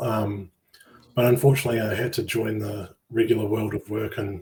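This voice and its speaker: A man speaks at a fairly quick pace with a medium pitch. His voice is somewhat breathy, with a dark, mellow tone. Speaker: game project lead. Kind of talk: interview.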